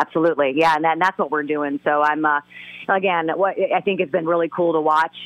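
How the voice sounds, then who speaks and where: A woman's very deep, low voice, very fast and monotone, with flat intonation and very even loudness. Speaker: motorsports broadcaster. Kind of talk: casual chat. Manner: halting.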